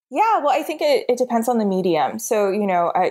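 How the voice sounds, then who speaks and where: The pace is fairly quick. Pitch swings very widely throughout. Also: woman. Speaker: contemporary artist. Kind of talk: casual interview conversation. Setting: video call.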